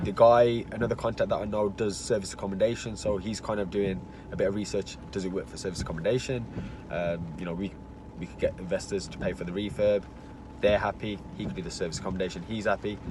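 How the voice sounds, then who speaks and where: Noticeable background noise runs behind a man who speaks at a very fast pace and a fairly low pitch, his intonation fairly even and his loudness swinging widely. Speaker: property investor. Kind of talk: casual conversation.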